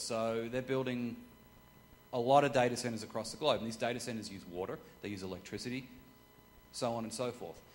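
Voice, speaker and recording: The speaker has an Australian accent. Pitch moves with ordinary variation. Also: man. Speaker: corporate sustainability consultant. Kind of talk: talk with audience Q&A.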